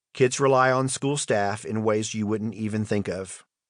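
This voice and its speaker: A man speaks at a moderate pace in a medium pitch. His intonation is fairly even, over a quiet background. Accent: slight Southern US. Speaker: audiobook narrator, school principal. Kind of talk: audiobook reading of a memoir.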